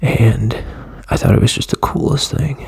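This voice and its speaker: A man speaks quietly at a medium pitch with ordinary pitch variation, with noticeable background noise behind him. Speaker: tech video creator. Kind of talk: casual product walkthrough. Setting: at home, early morning. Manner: casual, hesitant with fillers.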